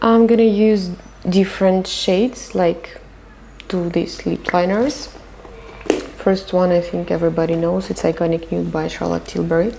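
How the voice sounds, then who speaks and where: Over noticeable background noise, a woman with a non-native accent and a medium pitch speaks at a fairly slow pace with lively intonation. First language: not English. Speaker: makeup artist. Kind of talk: makeup tutorial. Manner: casual, conversational with hesitations.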